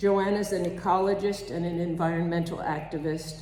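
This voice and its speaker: A woman speaks in a fairly low pitch with monotone, flat intonation. Audible room echo and noticeable background noise surround her voice. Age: 80s. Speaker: congregation member giving a reflection. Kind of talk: spiritual reflection at a service.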